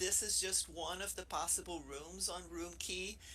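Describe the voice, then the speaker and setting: With a Brazilian accent, a woman is speaking. Her pace is fairly slow. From Brazil, Rio de Janeiro. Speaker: professor. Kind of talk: webinar presentation. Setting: virtual room streamed to YouTube.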